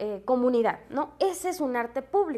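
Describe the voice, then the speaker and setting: A woman is speaking. Her voice sits at a high pitch. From Mexico, Tepatitlán de Morelos, Jalisco. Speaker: presenter explaining public art. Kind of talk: informal explanatory talk. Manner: casual with fillers and hesitations.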